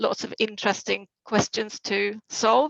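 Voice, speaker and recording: A woman with a Swedish accent. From Sweden. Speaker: private banking head. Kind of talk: panel talk.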